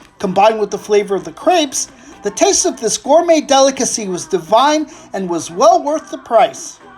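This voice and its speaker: Over music in the background, a man with an American accent speaks at a moderate pace in an extremely high voice, with very wide pitch swings and big swings in loudness. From United States. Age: 60s. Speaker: food vlogger. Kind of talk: scripted narration.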